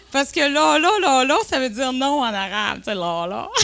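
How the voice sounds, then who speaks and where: A woman with a Lac-Saint-Jean accent speaks in a raised, projected voice at a high pitch, animated, with a bright, sharp tone. Her pitch swings very widely at a fairly slow pace. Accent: Lac-Saint-Jean Quebec French. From Quebec, Lac-Saint-Jean. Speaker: entrepreneur, cosmetics company co-founder. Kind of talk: conference talk, personal storytelling. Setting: conference room with audience. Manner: animated, lively.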